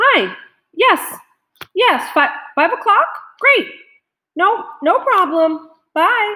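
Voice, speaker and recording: Using a put-on character voice, a woman speaks in an extremely high, squeaky pitch at a very slow pace with long, frequent pauses. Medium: read story.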